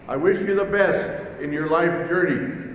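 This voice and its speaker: A man's voice with ordinary pitch variation comes through audible room echo and noticeable background noise. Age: 70s. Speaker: university president giving commencement address. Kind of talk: commencement speech. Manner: formal.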